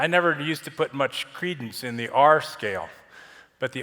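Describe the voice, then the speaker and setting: A man's bright, sharp voice with an American accent. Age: 70s. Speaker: avalanche professional, conference speaker. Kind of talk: conference presentation. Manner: halting, with frequent fillers.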